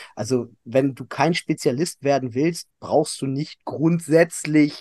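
A man talks at a very slow pace in a dark, mellow tone with a fairly high pitch. The sound is dry and close, with no echo. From Hannover, northern Germany. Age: 30s. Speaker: fitness studio owner and CrossFit coach. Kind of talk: casual interview chat.

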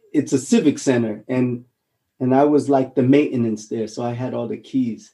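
Fairly even intonation marks this man's dark, mellow voice, delivered at a moderate pace. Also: medium pitch for a man. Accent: Hawaiian. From Hawaii, Honolulu. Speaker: actor, former marine. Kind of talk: interview.

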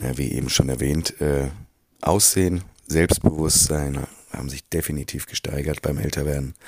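This man's voice sits very deep and low, and his intonation stays fairly even. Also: moderate pace. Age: 40s. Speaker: creative director in advertising. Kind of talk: recorded interview statement.

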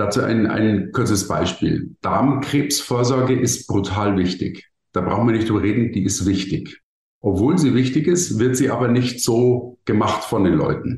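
This man speaks at a fairly slow pace with a medium pitch and ordinary pitch variation. His voice is somewhat breathy, and its loudness stays very even. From Bavaria, Germany. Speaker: keynote speaker and marketing consultant. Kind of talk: interview. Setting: podcast studio.

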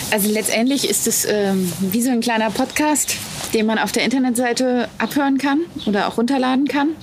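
A fairly quick pace with noticeable background noise. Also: woman, high pitch for a woman, ordinary pitch variation, very even loudness. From Wittenberg, Saxony-Anhalt, Germany. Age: young. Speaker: pastor. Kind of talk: interview. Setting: outdoors, parsonage garden.

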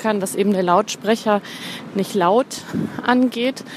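Over noticeable background noise, a woman with a fairly high voice speaks at a moderate pace. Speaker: blogger and podcaster. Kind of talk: voice message monologue. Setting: voice messages recorded on the go.

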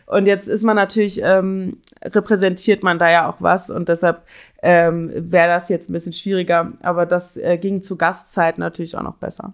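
This woman's voice is fairly low, monotone and flat in intonation, at a moderate pace. The recording is very clean, with a silent background. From Cologne, Germany. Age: 20s. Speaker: club door selector. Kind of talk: interview.

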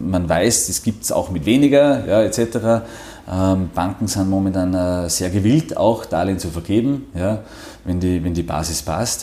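Amid noticeable background noise, a man with a Salzburg accent talks in a very deep, low voice with lively intonation. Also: fairly slow pace. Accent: Salzburg Austrian German. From Austria, Salzburg (Pongau, near Werfen). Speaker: financial services executive. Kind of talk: interview. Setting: office.

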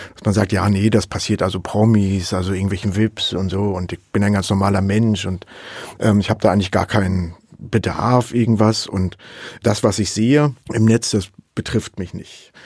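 With a plain, everyday voice, a man talks at a moderate pace, his fairly low pitch following fairly even intonation. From Saxony. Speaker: professor of digital forensics. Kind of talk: interview.

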